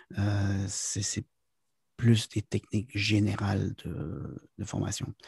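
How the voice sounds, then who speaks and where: This voice is somewhat breathy with a dark, mellow tone, recorded dry and close with no echo. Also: man. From Quebec, near the US border. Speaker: business consultant and corporate trainer. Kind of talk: interview. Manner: halting, many fillers.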